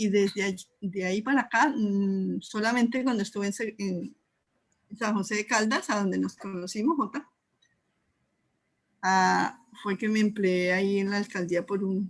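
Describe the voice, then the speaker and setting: A somewhat breathy woman's voice at medium pitch, with a moderate pace and ordinary pitch variation. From Colombia, Neiva, Huila. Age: 60s. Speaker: Urantia book teacher and artisan. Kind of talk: casual interview chat.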